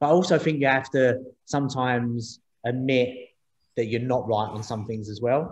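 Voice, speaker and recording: A man with a London accent speaks at a moderate pace, his voice somewhat breathy. His pitch varies in an ordinary way. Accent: London accent, noticeable. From East London. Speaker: startup co-founder, former taxi driver. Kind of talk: interview on panel event. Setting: video call. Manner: repetitive, halting.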